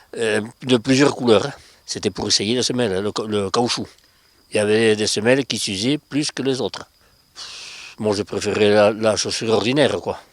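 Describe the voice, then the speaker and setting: The speaker talks at a moderate pace with fairly even intonation. Long pauses come often. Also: man, fairly low pitch for a man. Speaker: former factory worker. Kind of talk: interview.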